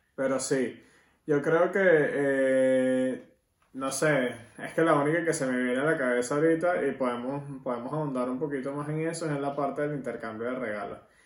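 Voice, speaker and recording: Heard with audible room echo, a man talks at a moderate pace in a fairly high pitch with fairly even intonation. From Venezuela. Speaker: podcast host. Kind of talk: casual chat.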